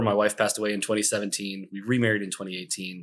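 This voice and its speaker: A man with a fairly low pitch speaks very fast. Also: very clean recording, silent background. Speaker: real estate investor. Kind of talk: podcast interview. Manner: hesitant fillers.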